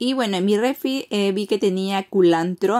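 A woman's voice at a fairly slow pace, over a quiet background. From Peruvian Amazon, Iquitos; Peru. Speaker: cooking vlogger. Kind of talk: cooking tutorial. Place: kitchen. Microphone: phone near.

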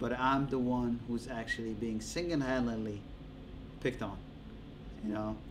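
A man talks at a moderate pace over noticeable background noise. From Djibouti. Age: 30s. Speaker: interviewee. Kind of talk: interview. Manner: casual, with frequent laughter. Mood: calm, mildly aggrieved. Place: studio.

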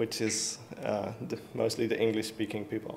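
Speaking at a fairly slow pace, a man talks with a Dutch accent. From Netherlands. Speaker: software developer; conference presenter. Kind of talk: conference talk. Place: stage.

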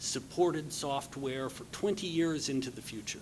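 A man with ordinary pitch variation over light background noise. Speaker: conference speaker. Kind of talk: conference talk. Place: hall. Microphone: podium.

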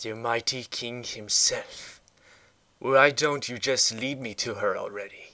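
Putting on a character voice, a man speaks at medium pitch and a fairly slow pace with big swings in loudness. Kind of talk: dramatic voice acting audition. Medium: machinima. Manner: sarcastic, impatient.

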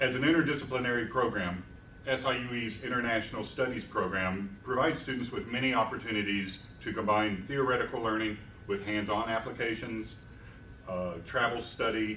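A man at a moderate pace, his intonation fairly even, with audible room echo and light background noise. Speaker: university administrator. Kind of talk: formal opening remarks. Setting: stage with audience. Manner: formal. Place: hall. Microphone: podium.

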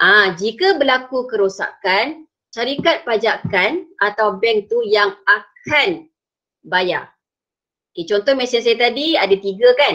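Against a quiet background, a woman talks at a fairly slow pace, her fairly high voice making very wide pitch swings. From Malaysia. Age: 40s. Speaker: secondary school teacher. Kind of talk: online lesson. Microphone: video call.

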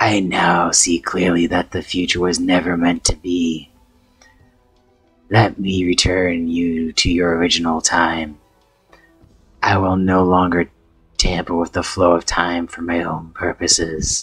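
Over faint background music, a man puts on a character voice pitched very deep and low. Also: fairly slow pace. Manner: solemn, remorseful.

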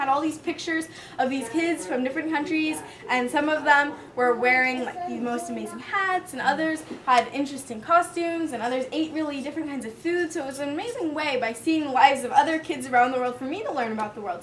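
Over light background noise, a high-pitched woman speaks at a very fast pace with ordinary pitch variation. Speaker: author or teacher visiting children. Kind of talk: talk to a child audience. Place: classroom. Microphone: camera far.

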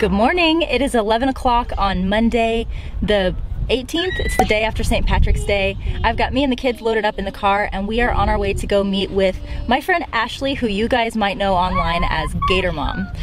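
A woman speaks at a moderate pace in a dry room with no echo, faint music playing in the background. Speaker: parenting vlogger. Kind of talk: casual vlog chat. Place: car. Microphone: phone near.

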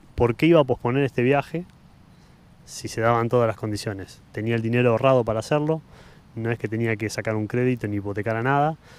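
A man's very fast, medium-pitched speech with ordinary pitch variation and a dry sound with no echo. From Argentina, Buenos Aires province. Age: 40s. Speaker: photographer; interview guest. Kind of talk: casual chat. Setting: outdoors in a park. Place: garden. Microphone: handheld.

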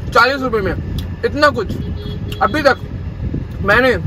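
A man talks at a moderate pace amid loud background noise. The sound is dry, with no echo. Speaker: food vlogger. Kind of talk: casual vlog chat. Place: car. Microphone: phone near.

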